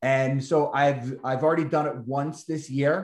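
With an American accent, a man of medium pitch speaks at a moderate pace against a quiet background, with audible room echo. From New York. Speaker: realtor and real estate investor; realtor hosting webinar. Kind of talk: group coaching call. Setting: video call. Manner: animated. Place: office. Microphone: webcam.

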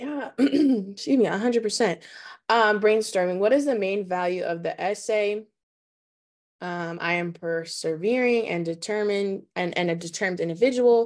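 The speech moves at a moderate pace with ordinary pitch variation against a quiet background. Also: woman. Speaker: college student panelist. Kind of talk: webinar panel talk. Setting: video call. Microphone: video call.

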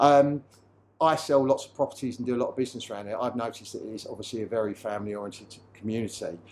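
A man talking at a very fast pace with big swings in loudness over light background noise. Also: ordinary pitch variation. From Dartford, Kent (south-east England); Kent. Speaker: estate agent; estate agent host. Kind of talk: promotional interview. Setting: on location at a car repair garage. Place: workshop. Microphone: lapel.

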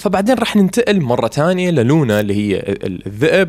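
The delivery is fast, with big pitch swings and a slightly mellow tone. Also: man, fairly high pitch for a man.

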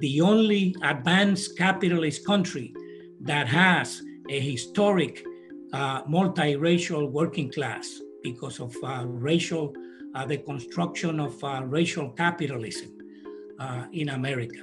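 With clear music in the background, a man speaks at a fairly slow pace. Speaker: candidate. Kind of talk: campaign statement. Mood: earnest, committed. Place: home room. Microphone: webcam.

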